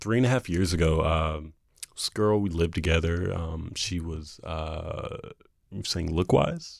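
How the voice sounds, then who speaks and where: At a fairly slow pace, a man with an American accent talks at a very deep, low pitch with ordinary pitch variation, recorded very cleanly over a silent background. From North Carolina, Jacksonville. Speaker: dating show contestant. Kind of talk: casual chat.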